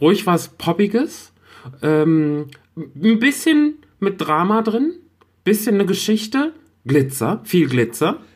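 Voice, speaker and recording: Very slow and marked by long, frequent pauses, a man's high voice moves through very wide pitch swings at very even loudness. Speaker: podcast co-host. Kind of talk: casual chat.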